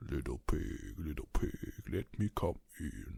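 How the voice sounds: A man puts on a gruff character voice with a very deep, low pitch. He speaks at a fairly slow pace.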